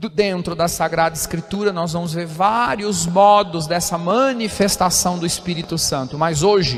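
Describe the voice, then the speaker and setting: A man with a high voice speaks at a moderate pace with ordinary pitch variation and hardly any pauses, against noticeable background noise. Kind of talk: homily at Mass.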